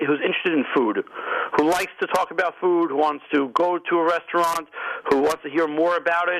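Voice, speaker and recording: A man with a strong New York accent talks at a fairly quick pace against noticeable background noise. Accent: thick New York. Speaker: restaurant magazine publisher. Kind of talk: radio interview.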